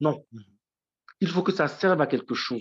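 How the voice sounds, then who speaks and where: A man is speaking. His intonation is lively. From Côte d'Ivoire (Issia). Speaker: writer and teacher. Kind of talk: interview testimony. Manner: halting, many repetitions and fillers.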